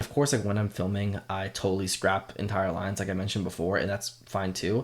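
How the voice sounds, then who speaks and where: A man with a fairly low pitch speaks at a fairly quick pace over light background noise. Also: fairly even intonation. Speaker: content creator coach. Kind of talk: tutorial. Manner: fast; casual. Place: home room. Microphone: studio mic.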